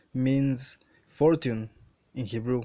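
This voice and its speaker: A dark, mellow voice with a Spanish accent and fairly even intonation over a quiet background. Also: man. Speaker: religious video maker. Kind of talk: bible commentary. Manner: halting.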